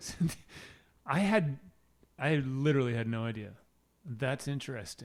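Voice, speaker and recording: A man with a Wisconsin accent speaks at medium pitch and a moderate pace. His intonation is lively, with long, frequent pauses. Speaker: podcast co-host. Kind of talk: casual chat.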